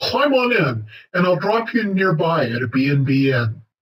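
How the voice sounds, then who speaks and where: A man puts on a character voice, fairly high in pitch, with very wide pitch swings. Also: moderate pace. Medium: read story. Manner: jolly, laughing.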